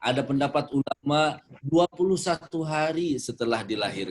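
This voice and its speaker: The recording has a dry, close sound with no echo, and a man speaks at a fairly slow pace. His pitch is fairly high and he uses a plain, everyday voice. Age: 40s. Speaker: Islamic preacher. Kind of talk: religious talk with Q&A.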